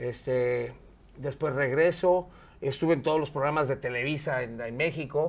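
A man speaks with a Mexican accent at a fairly high pitch. His pace is moderate and his intonation fairly even. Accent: Mexican Spanish (Jalisco). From Mexico, Guadalajara; Jalisco, Mexico. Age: 50s. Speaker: radio and TV presenter; interview guest, radio host. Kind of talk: casual interview chat; interview answer. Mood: relaxed, jovial storytelling. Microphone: lapel.

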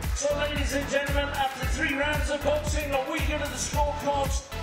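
A man speaks with clear music in the background. Audible room echo colors the sound. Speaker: boxing ring announcer. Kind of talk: boxing ring announcer introducing fighters and reading scorecards. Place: hall.

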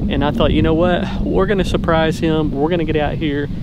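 Loud background noise fills the clip. A man speaks, and his voice is dry with no echo. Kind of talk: casual vlog chat. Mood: upbeat, friendly. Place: open country. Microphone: phone near.

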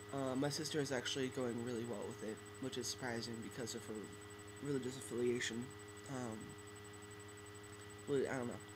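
Fairly quick pace with long, frequent pauses and fairly even intonation over noticeable background noise. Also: man, medium pitch for a man. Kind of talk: casual talk to camera. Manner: hesitant, many fillers. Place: home room. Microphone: webcam.

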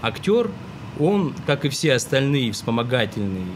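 The speaker talks at a fairly slow pace over noticeable background noise. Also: man. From Russia, Greek heritage. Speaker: actor and film director; actor. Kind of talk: interview. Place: studio. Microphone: studio mic.

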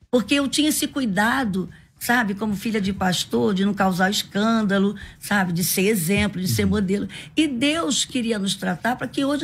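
With lively intonation, a woman speaks at a moderate pace in a somewhat breathy voice. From Brazil, Rio de Janeiro (from age 4). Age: 60s. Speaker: pastor and women's leader; pastor. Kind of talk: radio interview. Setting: radio studio. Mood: earnest, emotional storytelling. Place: studio. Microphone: studio mic.

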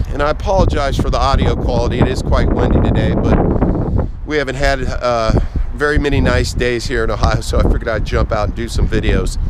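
Loud background noise surrounds a man speaking at a fairly quick pace, in a dry sound with no echo. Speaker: van salesman. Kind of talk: product walkthrough. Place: street. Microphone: phone near.

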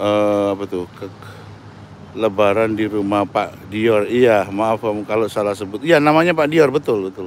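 Pitch moves in an ordinary way as the speech unfolds at a fairly slow pace. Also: man. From Indonesia, Surabaya. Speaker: vlogger. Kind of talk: live stream walking tour. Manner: animated.

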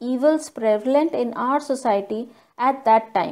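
Recorded very cleanly against a silent background, a woman speaks at a high pitch and a fairly slow pace. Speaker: school teacher. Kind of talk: lecture. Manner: formal.

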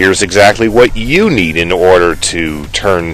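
Music plays in the background as a man talks with an American accent. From United States. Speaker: voice actor. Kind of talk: sales pitch.

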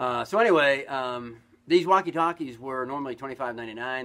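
A man talks at a moderate pace with ordinary pitch variation. His tone is upbeat. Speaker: store owner or shop promoter. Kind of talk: sales pitch. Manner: friendly, folksy and upbeat, chatty with filler words; rambling, conversational pitch with a direct call to action. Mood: friendly, upbeat. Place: shop. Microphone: camera far.

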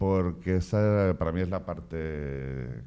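A man speaks with a very deep, low pitch and a dark, mellow tone. His pitch varies in an ordinary way. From Castilla-La Mancha, Spain. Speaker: film director and course coordinator. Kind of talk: information session interview. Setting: in front of camera with live and online audience. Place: studio. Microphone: handheld.

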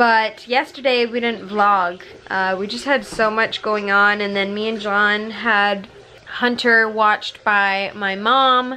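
A woman's fairly slow speech with fairly even intonation over light background noise. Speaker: family vlogger. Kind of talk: casual vlog chat. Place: home room. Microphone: phone near.

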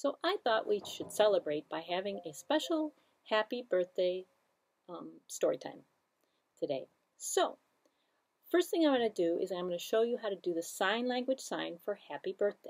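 Very wide pitch swings at a moderate pace, with long, frequent pauses over a quiet background. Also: woman. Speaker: library story time host. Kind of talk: children's story time reading. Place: studio.

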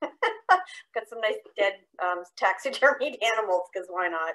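A woman speaks. Nothing much is heard behind her. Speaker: nature educator. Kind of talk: online presentation. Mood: light, joking. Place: home room. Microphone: video call.

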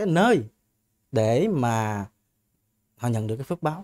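Slow-paced at a fairly unhurried rate, a man with a dark, mellow tone makes very wide pitch swings in a dry, close sound with no echo. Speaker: Buddhist monk. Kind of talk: Buddhist Q&A teaching.

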